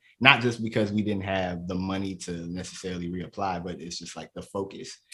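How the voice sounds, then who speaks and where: A man speaks with a Chicago accent and a very deep, low pitch. His intonation stays fairly even. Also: hardly any pauses, big swings in loudness. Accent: Chicago American. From south suburbs of Chicago. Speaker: comedian and poet. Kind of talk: casual interview chat.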